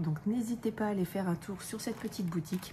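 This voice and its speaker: A woman speaks quietly at a fairly slow pace in a dark, mellow, somewhat breathy tone. Her pitch varies in an ordinary way. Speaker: crafts YouTuber. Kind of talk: unboxing haul video. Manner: quiet, hushed; hesitant, many fillers.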